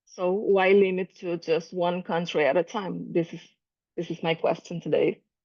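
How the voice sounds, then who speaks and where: With a Portuguese accent, a woman speaks at a moderate pace with a medium pitch and fairly even intonation. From Brazil. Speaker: calligraphy artist. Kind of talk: presentation. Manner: halting.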